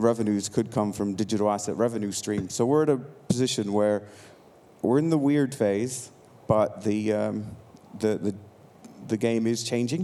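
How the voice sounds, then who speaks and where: A man's dark, mellow voice with an American accent, broken by long, frequent pauses. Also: fairly low pitch for a man, ordinary pitch variation, moderate pace. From United States. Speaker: tech entrepreneur. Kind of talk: conference talk. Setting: stage with audience. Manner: casual, with many fillers.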